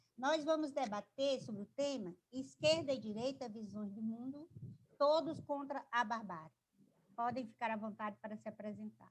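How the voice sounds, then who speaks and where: A woman talks in an ordinary speaking voice at a fairly high pitch and moderate pace. Her intonation is lively, and her loudness swings widely. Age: 60s. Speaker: lawyer and debate moderator. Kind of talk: panel moderation.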